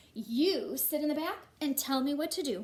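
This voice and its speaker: A woman uses a put-on character voice at a high pitch. Her intonation is lively, at a moderate pace. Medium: read story. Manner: calm, easygoing.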